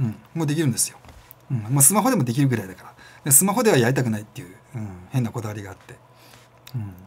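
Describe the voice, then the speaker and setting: A man talks at a very fast pace, his intonation lively and his loudness swinging widely. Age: 40s. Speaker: self-employed business vlogger; freelance business vlogger. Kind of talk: casual monologue vlog. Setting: home studio with camera and lights. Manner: filler-heavy, rambling delivery. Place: home room.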